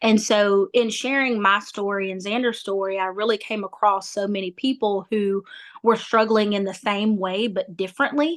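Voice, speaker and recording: Speaking at a moderate pace, a woman with a strong Southern US accent uses a medium pitch. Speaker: nonprofit founder. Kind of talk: interview. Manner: animated.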